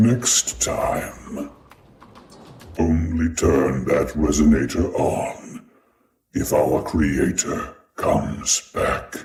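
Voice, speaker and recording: Very slowly and with long, frequent pauses, a man delivers a put-on character voice at a very deep, low pitch. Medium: machinima. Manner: calm, measured.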